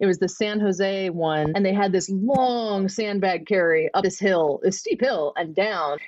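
Noticeable background noise accompanies a woman speaking with ordinary pitch variation. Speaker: podcast host. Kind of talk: casual chat, interview.

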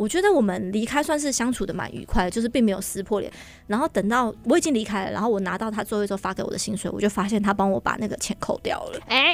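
A woman speaks very fast with a Taiwanese accent, with hardly any pauses. Her pitch is fairly high, with ordinary variation. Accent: Taiwanese Mandarin. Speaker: church administrator and event emcee. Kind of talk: radio interview.

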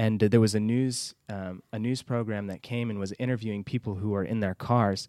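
In a very clean recording with a silent background, a man with an American accent talks at a fairly quick pace with hardly any pauses, his dark, mellow tone flat and monotone, the sound dry and close with no echo. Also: fairly low pitch for a man. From Texas, Houston. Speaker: missionary. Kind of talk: interview.

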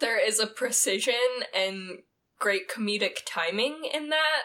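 With an American accent, a woman speaks in a raised, projected voice at a fairly slow pace, her tone bright and sharp. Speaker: podcast co-host. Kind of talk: casual chat.

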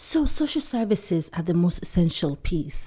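A woman speaks at a fairly slow pace. Her tone is dark and mellow and somewhat breathy. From Somalia. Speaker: community organization leader. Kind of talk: interview.

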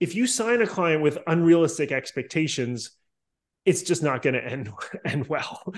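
With an American accent and a normal speaking voice, a man talks at a moderate pace and a fairly high pitch, his intonation lively over a quiet background. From US Northeast, Boston. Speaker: sales outsourcing company founder. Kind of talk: casual interview.

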